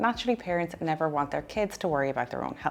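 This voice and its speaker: In an Irish accent, a woman speaks very fast with very wide pitch swings. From Ireland. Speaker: dietitian. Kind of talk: personal story vlog.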